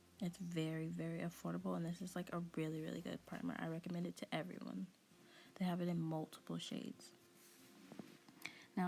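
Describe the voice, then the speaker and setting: A woman talks quietly at a fairly quick pace, broken by long, frequent pauses, in a fairly low, somewhat breathy voice with a dark, mellow tone. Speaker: beauty youtuber. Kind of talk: makeup tutorial voiceover. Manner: quiet, talking low; casual, chatty with fillers.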